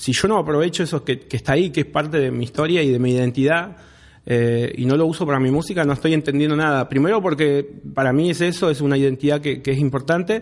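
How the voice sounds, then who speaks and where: A man talks at a very fast pace with an Argentine accent. His pitch is fairly high, with ordinary variation. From Rawson, Argentina. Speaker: rapper. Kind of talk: casual chat. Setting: studio.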